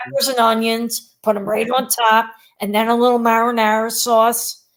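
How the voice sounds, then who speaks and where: A woman speaks with a Philadelphia accent at a moderate pace. Her fairly high voice has monotone, flat intonation. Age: 60s. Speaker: teacher. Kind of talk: casual chat.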